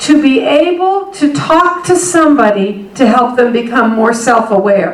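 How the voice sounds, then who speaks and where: A woman speaks at a fairly slow pace with very wide pitch swings. Audible room echo and noticeable background noise come through. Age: 60s. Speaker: higher education consultant and speaker. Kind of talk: workshop keynote talk.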